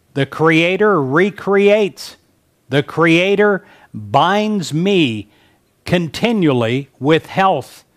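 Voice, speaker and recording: A man with a high pitch, lively intonation, very even loudness and a very slow pace. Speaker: prayer leader. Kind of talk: fervent guided prayer and decree, spoken as a first-person petition. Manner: intense, earnest, solemn and declarative, with an insistent rhythmic build.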